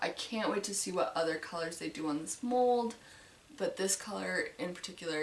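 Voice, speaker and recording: A woman's fairly low voice with lively intonation amid noticeable background noise. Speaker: model horse collector vlogger. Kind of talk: casual collection tour. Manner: hesitant with many fillers.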